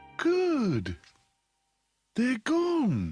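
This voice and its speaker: This cartoonish character voice is pitched fairly high. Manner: polite, gentle, mild.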